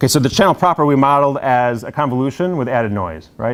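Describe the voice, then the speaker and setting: Lively intonation marks this man's medium-pitched voice as he talks at a fairly quick pace. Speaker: university lecturer. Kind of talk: lecture. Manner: fast; casual, filler-heavy.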